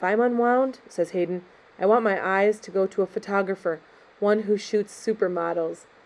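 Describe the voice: This is plain reading aloud, and the pitch varies in an ordinary way.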